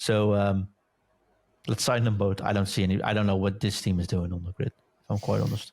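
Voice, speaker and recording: A man with a fairly low voice speaks at a fairly quick pace in a monotone, flat way. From Netherlands. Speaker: podcast co-host. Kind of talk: casual chat.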